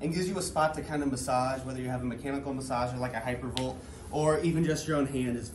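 There's a male speaker here. Background noise is clearly audible behind him. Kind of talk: tutorial. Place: gym.

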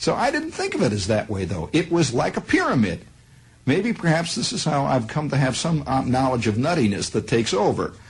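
A man's fairly quick delivery, with very wide pitch swings and vocal fry. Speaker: radio broadcaster telling a personal story. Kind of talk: radio monologue, storytelling. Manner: conversational, digressive, wry. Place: studio. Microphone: old recording.

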